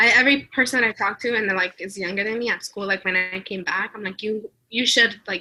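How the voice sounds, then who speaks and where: Over music in the background, the speaker talks at a fairly quick pace with hardly any pauses, fairly even intonation and a Spanish accent. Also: woman, fairly high pitch for a woman. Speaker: student exchange alum. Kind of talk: interview. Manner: casual, filler-heavy.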